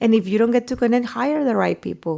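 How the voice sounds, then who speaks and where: Speaking with a Mexican accent, a woman uses lively intonation. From Mexico. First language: Spanish. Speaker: journalist. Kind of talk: interview.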